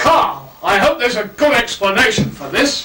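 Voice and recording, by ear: Putting on a character voice, a man speaks at a high pitch with big pitch swings and a bright, sharp tone amid audible room echo. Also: moderate pace.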